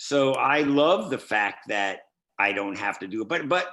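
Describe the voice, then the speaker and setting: A man's bright, sharp tone in a very clean recording with a silent background. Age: 60s. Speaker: record producer. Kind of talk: casual chat. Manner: animated.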